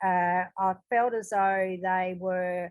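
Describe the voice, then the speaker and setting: In a very clean recording with a silent background, a woman with an Australian accent speaks at medium pitch with monotone, flat intonation. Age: 70s. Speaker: audience member asking questions. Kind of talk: Q&A discussion. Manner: halting, many fillers.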